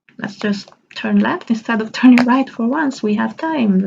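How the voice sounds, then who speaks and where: A somewhat breathy woman's voice, fairly slow in pace, with lively intonation. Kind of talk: casual vlog talk. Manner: mumbling, stumbling; stumbles over words due to aligners.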